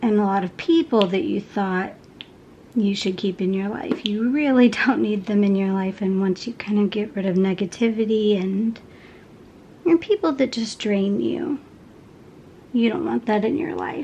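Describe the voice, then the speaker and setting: A soft-spoken woman in an American accent, lively intonation at a moderate pace, with noticeable background noise. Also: medium pitch for a woman. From Texas, Houston. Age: 30s. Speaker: crafting vlogger. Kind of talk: casual chat.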